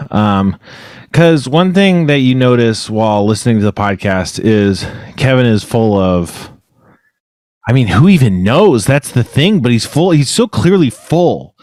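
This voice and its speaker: The pace is fairly slow. Pitch swings very widely. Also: man, medium pitch for a man. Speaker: podcast co-host. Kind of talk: casual chat. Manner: talks over others.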